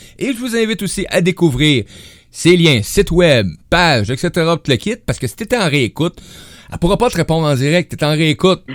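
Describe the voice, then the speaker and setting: Speaking at a fairly quick pace, a man with a high-pitched voice moves through very wide pitch swings in a dry, close recording with no echo. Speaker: radio host. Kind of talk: casual chat.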